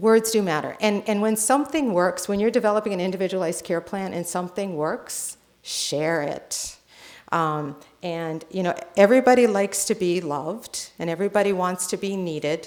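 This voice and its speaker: With a US East Coast accent, a woman speaks at a medium pitch and a moderate pace. Her pitch varies in an ordinary way. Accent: US East Coast, non-rhotic. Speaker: nurse and healthcare consultant. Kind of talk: conference presentation.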